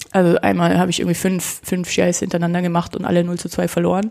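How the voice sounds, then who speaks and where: Her voice sits at a fairly low pitch. This woman is heard over noticeable background noise. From Germany, Nuremberg (Franconia). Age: 30s. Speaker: kendo practitioner. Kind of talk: casual interview.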